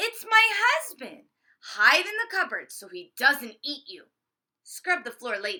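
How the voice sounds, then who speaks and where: In a put-on character voice, a female-sounding speaker talks fairly slowly at an extremely high pitch with very wide pitch swings. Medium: read story. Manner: brusque, bossy.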